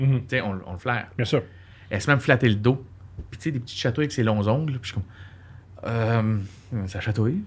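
This voice is somewhat breathy and moves at a moderate pace. Its pitch variation is ordinary. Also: man. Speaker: comedian. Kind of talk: casual chat. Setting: studio. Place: studio. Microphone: studio mic.

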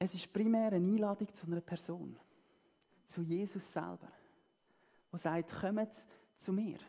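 Against a quiet background, a woman with a warm, dark, mellow tone speaks at a fairly slow pace with ordinary pitch variation and long, frequent pauses. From German-speaking Switzerland. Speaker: preacher. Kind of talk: sermon. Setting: church. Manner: warm, earnest and conversational, with a pastoral, persuasive tone. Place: stage.

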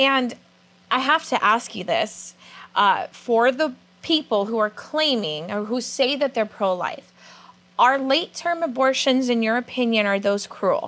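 With an American accent, a woman talks fairly slowly in a high voice full of lively intonation. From California. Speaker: student TV show host. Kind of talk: interview; interview questions. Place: studio. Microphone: lapel.

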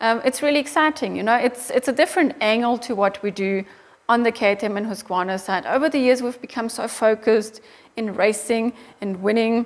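A woman with a German accent speaks at a fairly quick pace in a fairly high voice, her pitch varying in an ordinary way. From Austria. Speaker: motorcycle company managing director. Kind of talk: interview. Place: office. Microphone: lapel.

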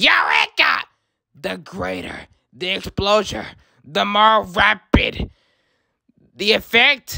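A raspy put-on character voice at a middle pitch, very slow, with long, frequent pauses. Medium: dub. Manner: gloating, theatrical.

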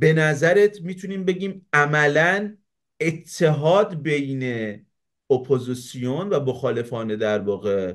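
At a fairly slow pace, a man's fairly high voice sweeps through very wide pitch swings against a quiet background. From Iran, Savadkuh in Mazandaran; Mazandaran, Iran. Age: 30s. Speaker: YouTube show host. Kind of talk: political debate. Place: home room. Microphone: webcam.

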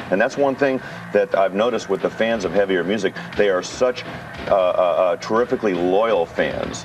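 A man speaks at a very even loudness. Faint music plays in the background. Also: moderate pace. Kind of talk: interview answer. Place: studio.

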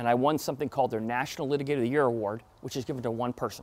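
The speaker is a man whose pitch varies in an ordinary way. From Florida. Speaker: trial attorney and motivational speaker; trial attorney, motivational speaker. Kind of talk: talk to an audience. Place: hall.

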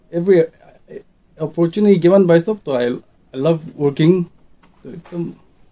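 A man with a high pitch and a dark, mellow tone speaks with long, frequent pauses. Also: ordinary pitch variation, moderate pace. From Mokokchung, Nagaland, India. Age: young. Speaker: photographer. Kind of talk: interview. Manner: halting. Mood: relaxed, smiling, laughing. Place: office. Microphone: headset.

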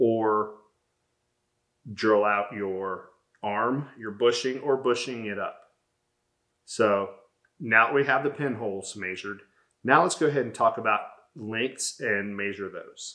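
Long, frequent pauses break up a man's fairly slow speech, with big swings in loudness and ordinary pitch variation. His tone is bright and sharp against a quiet background. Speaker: workshop channel host. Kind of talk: tutorial. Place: workshop.

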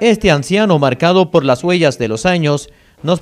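Pitched high, a man's voice moves along at a moderate pace. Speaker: news reporter. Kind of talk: TV news narration.

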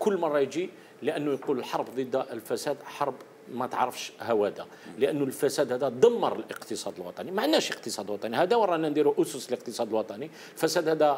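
Light background noise sits behind a man speaking at a moderate pace with fairly high pitch and very wide pitch swings. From Algeria. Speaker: anti-corruption commentator. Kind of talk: TV panel discussion. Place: studio. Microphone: lapel.

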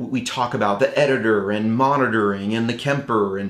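A man talks at a moderate pace, and audible room echo hangs around his words. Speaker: show host. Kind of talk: casual vlog intro. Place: studio.

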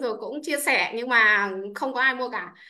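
Her voice high-pitched, bright and sharp, a woman speaks at a very fast pace in a raised, projected voice with ordinary pitch variation. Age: 30s. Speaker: businesswoman. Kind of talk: testimony. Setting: video call. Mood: grateful, upbeat. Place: home room. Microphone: video call.

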